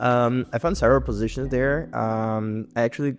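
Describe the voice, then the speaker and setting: A man's medium-pitched voice with a Portuguese accent, ordinary pitch variation and a moderate pace. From southern Brazil. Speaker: podcast guest, PhD student. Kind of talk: casual chat. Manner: hesitant, many fillers.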